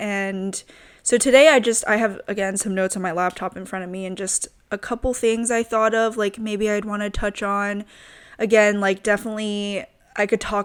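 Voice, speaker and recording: In a very clean recording with a silent background, a woman with a plain, everyday voice speaks at medium pitch and a moderate pace, with fairly even intonation and an American accent. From US South, Richmond, Virginia. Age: 20s. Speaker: podcast host. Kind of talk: casual monologue. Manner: casual, many fillers.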